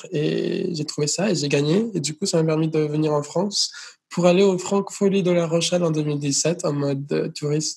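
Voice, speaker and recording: A man with a fairly high voice keeps his intonation fairly level and his tempo moderate. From United States (born in Venezuela). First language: Spanish or English (speaking French). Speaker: singer. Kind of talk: interview. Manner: hesitant, repeats words.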